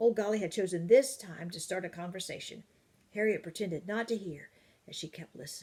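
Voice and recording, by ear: Ordinary pitch variation in someone reading aloud in a natural voice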